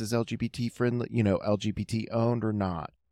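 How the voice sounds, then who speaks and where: An unremarkable speaking voice, a man's fairly low pitch comes at a moderate pace in a very clean recording with a silent background and a dry, close sound with no echo. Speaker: podcaster and facilitator. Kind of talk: casual interview chat.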